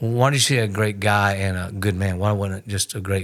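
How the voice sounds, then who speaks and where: The man's intonation stays fairly even. He keeps to a moderate pace. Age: 60s. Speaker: pastor. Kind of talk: podcast conversation.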